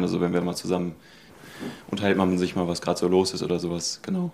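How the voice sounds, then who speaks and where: The delivery is monotone, with flat intonation. It moves at a very fast pace. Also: man. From Ruhr area, North Rhine-Westphalia. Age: 20s. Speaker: university student. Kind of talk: personal testimony.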